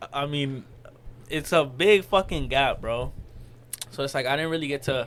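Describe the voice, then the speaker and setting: A man with a Spanish accent, fairly high pitch, ordinary pitch variation and a moderate pace. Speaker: podcast co-host. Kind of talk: casual chat. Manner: casual, filler-heavy.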